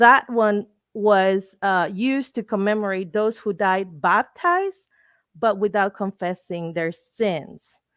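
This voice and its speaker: A woman with a Spanish accent speaks very slowly at medium pitch. The recording is very clean and dry, close with no echo over a silent background. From Mexico. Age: 30s. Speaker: lawyer and fashion enthusiast. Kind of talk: lecture. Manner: halting.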